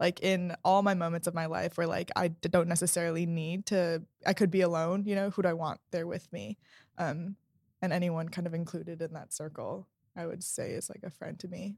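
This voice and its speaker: On a very clean recording with a silent background, a woman with an American accent uses an ordinary speaking voice, fairly low in pitch and fairly quick, with fairly even intonation but big swings in loudness. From New York City, Queens. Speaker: podcast guest, host's younger sister. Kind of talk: casual chat.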